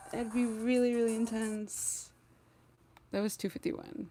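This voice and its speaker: A woman with a fairly high-pitched voice speaks over noticeable background noise. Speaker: gaming streamer. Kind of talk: casual live stream chat.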